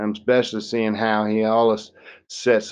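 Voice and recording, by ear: A passage is being read aloud in a natural voice.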